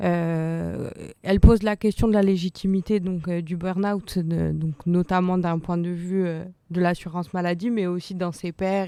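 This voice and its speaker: With monotone, flat intonation, a woman speaks at a moderate pace and a fairly low pitch in a dark, mellow tone, on a very clean recording with a silent background. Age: 20s. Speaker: audience member. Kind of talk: testimony. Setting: round table with live audience.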